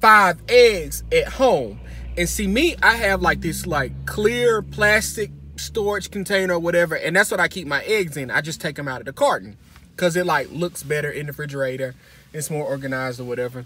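Over light background noise, a man speaks at a moderate pace. The recording sounds dry, without echo. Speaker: vlogger. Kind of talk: casual vlog chat, storytelling. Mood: humorous, dramatic. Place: car. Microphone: phone near.

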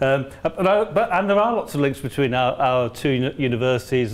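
A man speaks at a fairly quick tempo. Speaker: visiting lecturer. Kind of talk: lecture. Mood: warm, jokey, smiling. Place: classroom. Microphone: lapel.

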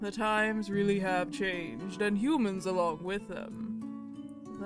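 Loud music plays in the background while a man does a put-on character voice. He speaks at a high pitch and a fairly slow pace. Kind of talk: visual novel read-aloud, archaic courtly speech. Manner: shy, formal, deferential.

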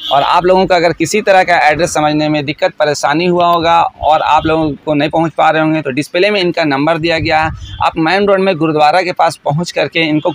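Fairly even intonation from a man at a moderate pace, with a dry sound and no echo. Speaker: vlogger host promoting a shop. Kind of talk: promotional vlog talk to camera. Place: shop. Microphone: phone near.

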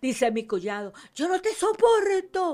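Her pitch swings very widely as she talks. The woman keeps a moderate pace against a quiet background. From Venezuela. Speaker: missionary minister. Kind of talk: testimony. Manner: animated. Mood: fervent, religious. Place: studio. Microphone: studio mic.

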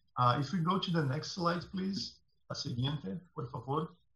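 Audible room echo surrounds a man's voice. He speaks at a moderate pace with ordinary pitch variation. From Brazil. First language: Portuguese. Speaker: tech founder; panel expert. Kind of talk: presentation. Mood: earnest, personal story.

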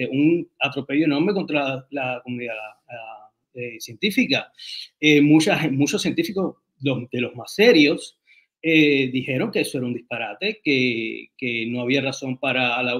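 In an ordinary speaking voice, a man with a fairly high pitch speaks fairly slowly, with ordinary pitch variation, over a quiet background. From Cuba and Dominican Republic; Cuba. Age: 40s. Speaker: writer and designer; interview guest. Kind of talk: interview. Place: home room. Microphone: video call.

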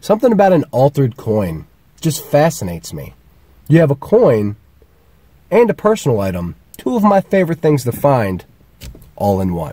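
A man's somewhat breathy, dark and mellow voice at a moderate pace, with a dry sound and no echo. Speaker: metal detecting vlogger. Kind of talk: casual vlog chat. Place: car. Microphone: phone near.

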